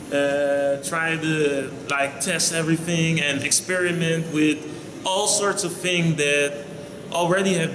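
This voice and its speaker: With a Dutch accent, a man speaks at a fairly slow pace and fairly high pitch, with fairly even intonation. Noticeable background noise and audible room echo are present. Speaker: vlogger. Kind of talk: casual vlog monologue.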